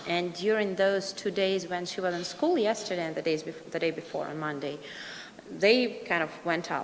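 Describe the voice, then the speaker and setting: Pitch varies in an ordinary way over noticeable background noise. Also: woman. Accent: Russian. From Russia. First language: Russian. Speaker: parent. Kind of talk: public comment. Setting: board meeting. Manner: halting.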